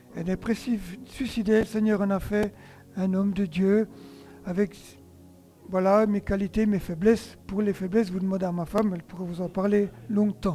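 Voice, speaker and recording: Over music in the background, the speaker talks at a moderate pace with fairly even intonation and long, frequent pauses. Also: man. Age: 60s. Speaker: pastor. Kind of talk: sermon.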